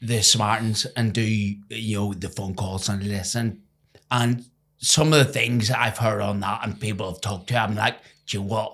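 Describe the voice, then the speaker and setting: On a very clean recording with a silent background, a man speaks with an Irish accent. His intonation is fairly even. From Ireland. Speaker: former professional cricketer. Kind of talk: interview.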